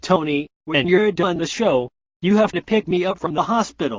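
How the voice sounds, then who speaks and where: A man's high-pitched, put-on character voice. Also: moderate pace, ordinary pitch variation. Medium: comedy sketch.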